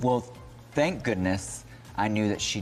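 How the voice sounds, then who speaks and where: A man's voice with very wide pitch swings at a moderate pace, with music in the background. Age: 30s. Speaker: drag performer. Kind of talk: interview conversation.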